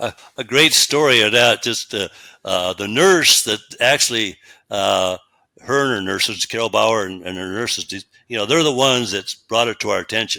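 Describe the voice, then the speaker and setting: A man with an American accent speaks at a moderate pace and medium pitch in a bright, sharp tone. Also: ordinary pitch variation. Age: 70s. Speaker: retired meat processing company owner. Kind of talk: interview. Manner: halting, many fillers.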